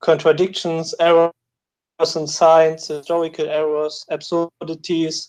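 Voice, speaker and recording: Fairly slowly, a man talks at a fairly high pitch. His intonation is flat and monotone. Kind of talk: call-in question. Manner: halting, many fillers and restarts.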